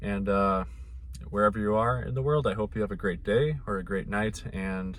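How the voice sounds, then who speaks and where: Audible room echo surrounds a man's fairly low voice. His intonation is lively. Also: moderate pace. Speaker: mental health vlogger. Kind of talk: casual vlog monologue.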